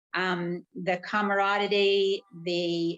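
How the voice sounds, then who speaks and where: A woman's voice in a monotone, flat intonation. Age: 60s. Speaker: retired nurse, cancer survivor. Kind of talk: interview on a live video stream. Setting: live video stream.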